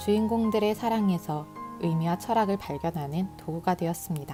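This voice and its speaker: With music in the background, a woman speaks at a moderate pace with a fairly low pitch and ordinary pitch variation. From Korea. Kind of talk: book prologue reading. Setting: home recording with earphone mic.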